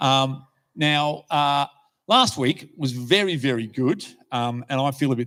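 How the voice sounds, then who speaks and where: A man speaks with an Australian accent. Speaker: lay preacher. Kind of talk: sermon. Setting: church. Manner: halting.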